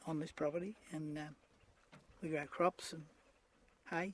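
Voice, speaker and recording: With a rural Australian accent, a man talks in fairly even intonation. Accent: broad rural Australian. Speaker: farmer and fox hunter. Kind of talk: news interview.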